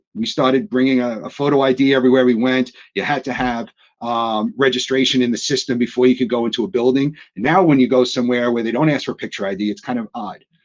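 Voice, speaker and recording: Someone with a New York accent talks at a very fast pace. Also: man, medium pitch for a man, ordinary pitch variation, quiet background. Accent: New York accent (joking calls it Atlanta). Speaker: technology industry executive. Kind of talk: panel discussion webinar. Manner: halting, frequent repetitions.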